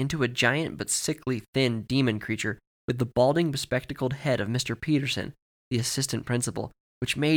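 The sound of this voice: An unforced reading voice with ordinary pitch variation. The background stays quiet.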